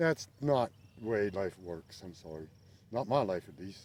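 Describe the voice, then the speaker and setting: Lively intonation colors a voice with a dark, mellow tone. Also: man. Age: 60s. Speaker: goat farmer and channel host. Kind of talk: casual vlog talk to camera while working outdoors. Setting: outdoors in a pasture.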